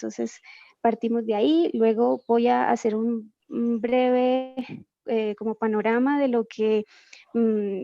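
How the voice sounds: In a dry, close sound with no echo, a woman speaks slowly at a fairly high pitch, her dark, mellow tone carrying vocal fry and little pitch movement.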